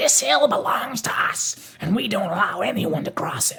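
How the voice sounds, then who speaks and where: A put-on, raspy character voice with a fairly high pitch at a moderate pace. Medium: read story. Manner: harsh, mocking.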